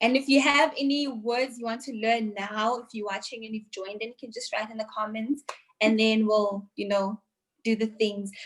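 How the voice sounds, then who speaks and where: Somewhat breathy, the voice keeps fairly even intonation but shows big swings in loudness. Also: woman, fairly high pitch for a woman, moderate pace. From South Africa, Eastern Cape. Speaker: language teacher. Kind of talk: casual chat.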